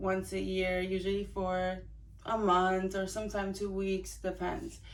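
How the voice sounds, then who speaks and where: A woman speaks at a medium pitch and a fairly slow pace. Room echo is audible around her voice. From Italy. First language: Italian. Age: 20s. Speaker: vlogger. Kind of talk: casual personal vlog. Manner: hesitant, many fillers.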